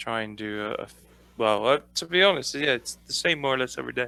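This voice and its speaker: Talking at a fairly quick pace, a man with a British accent has a bright, sharp tone. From Britain. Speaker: podcast co-host, streamer. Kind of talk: casual chat.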